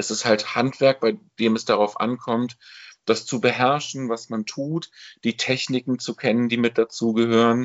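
A man's medium-pitched voice stays monotone, with flat intonation throughout. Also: moderate pace. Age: 40s. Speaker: amateur theatre director and bookseller. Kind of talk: casual chat. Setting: video call.

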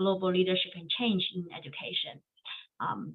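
Speaking at a fairly slow pace, a woman with a Chinese accent talks at a medium pitch. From China. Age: 30s. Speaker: education professor. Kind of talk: interview.

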